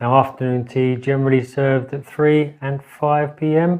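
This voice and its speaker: A man speaks with a London accent. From London, England. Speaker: guest English speaker on a language-learning channel. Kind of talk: casual talk to camera, English lesson.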